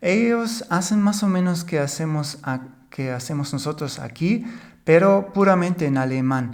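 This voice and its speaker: Someone with a German accent talks at a fairly slow pace with ordinary pitch variation and audible room echo. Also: man. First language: German (speaking Spanish). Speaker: podcast co-host. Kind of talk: casual chat.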